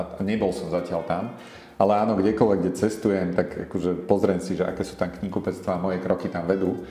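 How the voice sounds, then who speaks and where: A man with a very deep, low pitch, monotone and flat, at a very fast pace amid audible room echo. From Slovakia, Martin. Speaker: head of a bookselling company. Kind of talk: casual interview.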